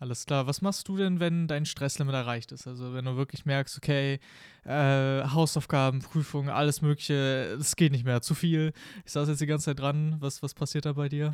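On a very clean recording with a silent background, a man with a fairly high pitch talks at a moderate pace with fairly even intonation. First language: Spanish as second native language (speaking German). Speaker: podcast host. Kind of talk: casual interview.

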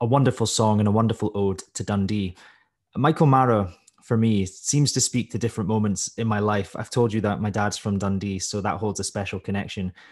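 This man speaks with a Scottish accent at a fairly quick pace, his pitch fairly low. His intonation is fairly even against a quiet background. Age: 30s. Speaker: podcast host. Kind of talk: interview conversation; scripted podcast intro and outro.

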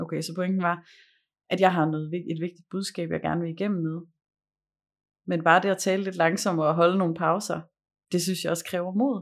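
A woman with a fairly low pitch speaks in monotone, flat intonation, leaving long, frequent pauses. The recording is very clean, with a silent background. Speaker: communication and performance coach. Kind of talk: casual chat; guided meditation. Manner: slow.

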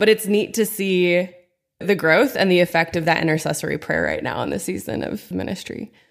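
A woman with a fairly low pitch and a normal speaking voice talks fairly quickly in an American accent, with ordinary pitch variation. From Pennsylvania, small town. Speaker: youth minister and worship leader. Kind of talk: casual chat. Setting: studio, own mic.

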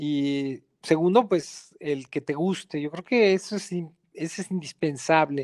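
An ordinary speaking voice from a man at fairly high pitch, with ordinary pitch variation and hardly any pauses, the sound dry and close with no echo. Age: 50s. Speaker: mountaineer. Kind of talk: interview.

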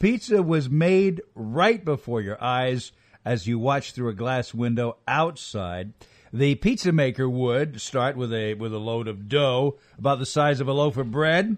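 The background is quiet as a man speaks fairly slowly with lively intonation. His is an unremarkable speaking voice, medium in pitch. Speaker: veteran radio personality and essayist.

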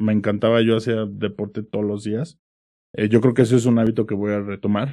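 Talking fairly quickly, a man uses a central Mexican accent. His pitch is fairly low and his intonation flat and monotone. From Mexico, Pachuca (Hidalgo). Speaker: startup executive. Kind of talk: interview. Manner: casual.

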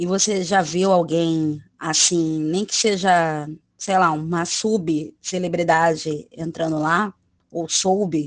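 A woman speaks at a very slow pace with a fairly low pitch. Her intonation is fairly even. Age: 30s. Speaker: telemarketing worker. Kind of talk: casual chat. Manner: talkative.

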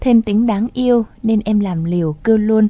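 A fairly high, somewhat breathy female voice with ordinary pitch variation at a moderate pace. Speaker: radio host. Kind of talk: radio show hosting, advice and commentary.

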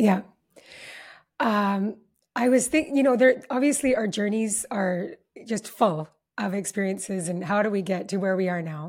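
A woman with a Canadian accent speaks at a medium pitch in a warm, somewhat breathy tone. Her intonation is lively, and she leaves long, frequent pauses. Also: moderate pace, very clean recording, silent background. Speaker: relationship summit founder and former matchmaker. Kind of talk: casual interview. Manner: warm and effusive.

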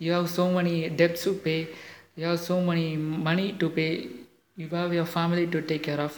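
Speaking with a non-native accent, a man holds a moderate pace in a high pitch with monotone, flat intonation. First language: not English. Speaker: motivational podcaster. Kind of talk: motivational monologue. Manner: halting, many fillers.

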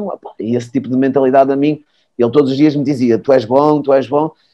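A man speaks in a dark, mellow tone. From Portugal, Porto. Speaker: former futsal player and coach. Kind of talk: casual chat.

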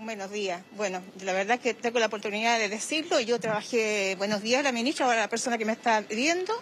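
A woman talks at a fairly quick pace with hardly any pauses. Her fairly high voice sits over noticeable background noise. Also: ordinary pitch variation. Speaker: retiree interviewed on the street. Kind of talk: vox pop testimony.

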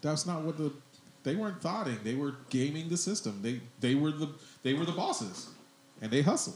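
Over noticeable background noise, a man with a fairly high voice talks at a fairly quick pace with lively intonation. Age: 40s. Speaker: comedian and podcast host. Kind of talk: casual chat. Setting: studio.

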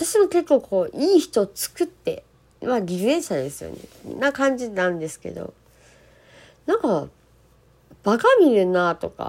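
A woman speaks at a fairly slow pace with long, frequent pauses and big swings in loudness. Her fairly high pitch moves through very wide swings. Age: 40s. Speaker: solo podcaster. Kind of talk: casual monologue. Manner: halting.

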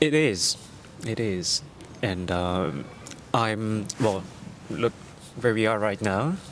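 Over noticeable background noise, a man with a fairly low pitch speaks at a very slow pace with long, frequent pauses and lively intonation. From Netherlands. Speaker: street photographer. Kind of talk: casual interview. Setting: outdoors on a park bench.

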